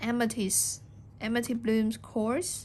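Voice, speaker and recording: Speaking at a very slow pace, a woman with a non-native accent keeps her pitch fairly high. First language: not English. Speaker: junk journal crafter. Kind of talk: product show-and-tell tutorial. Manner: halting, with fillers.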